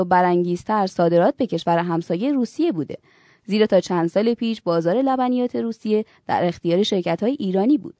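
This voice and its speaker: Fairly quick and lively in intonation, the voice has a dark, mellow tone, recorded dry and close with no echo against a quiet background. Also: woman. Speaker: news presenter. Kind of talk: news reading. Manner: formal.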